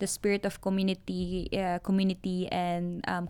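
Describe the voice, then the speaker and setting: A woman with a fairly low pitch talks at a fairly quick pace in a monotone, flat intonation. The recording is very clean, with a silent background. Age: 30s. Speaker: activist. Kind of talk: interview. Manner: hesitant, many fillers.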